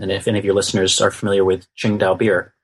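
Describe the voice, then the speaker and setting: Over a quiet background, a man speaks in a fairly low, somewhat breathy voice. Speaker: history lecturer and author. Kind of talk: interview. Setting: remote call. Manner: hesitant with fillers.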